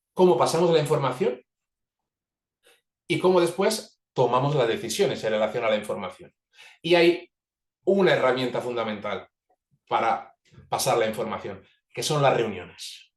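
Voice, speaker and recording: A man speaks with long, frequent pauses. His pitch swings very widely. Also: fairly high pitch for a man. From Italy. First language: Italian (speaking Spanish). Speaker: organizational facilitator. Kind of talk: webinar talk. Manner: fast.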